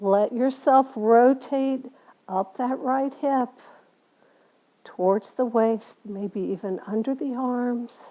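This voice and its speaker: At a very slow pace and with long, frequent pauses, a woman speaks in a high pitch with a dark, mellow tone that is calm and soothing. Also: ordinary pitch variation. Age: 70s. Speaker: yoga instructor. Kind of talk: casual closing remarks; guided yoga class. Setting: home studio. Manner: calm, soothing.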